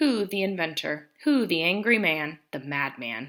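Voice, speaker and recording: Cackling runs through a put-on character voice at a middle pitch and moderate pace. The recording is very clean, with a silent background. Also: female-sounding voice. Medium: read story. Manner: uneducated, cackling.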